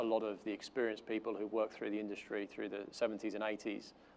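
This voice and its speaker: With a London accent, a man speaks at a fairly low pitch in a monotone, flat intonation. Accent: sounds like he is from London. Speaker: corporate learning and development manager. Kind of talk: conference panel talk. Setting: stage with audience. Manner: hesitant, many fillers.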